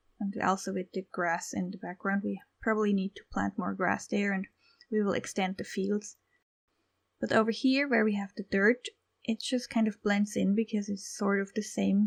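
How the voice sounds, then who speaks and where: With a non-native accent, a woman speaks at a moderate pace and with fairly even intonation, the sound dry and close with no echo. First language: not English. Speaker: gaming YouTuber. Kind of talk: gameplay commentary. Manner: casual, relaxed.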